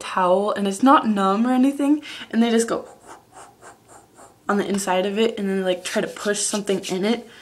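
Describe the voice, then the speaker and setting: Fairly high pitch from a woman, with noticeable background noise around it. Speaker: vlogger. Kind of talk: casual vlog monologue. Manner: animated.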